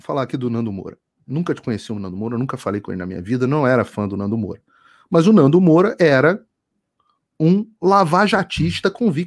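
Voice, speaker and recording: On a very clean recording with a silent background, a man with a Carioca accent talks at a fairly quick pace with very wide pitch swings. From Rio de Janeiro, Brazil. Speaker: journalist. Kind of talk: casual chat.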